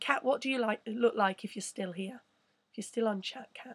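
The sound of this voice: Using a put-on character voice, a woman sounds croaky and fairly high, with fairly even intonation at a moderate pace.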